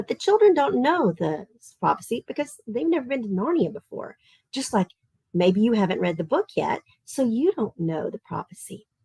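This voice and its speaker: In a Southern Tennessee accent, a woman with a fairly high pitch and a dark, mellow tone speaks at a moderate pace, her pitch swinging very widely, in a dry, close sound with no echo. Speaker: online literature camp teacher. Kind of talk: online class for children.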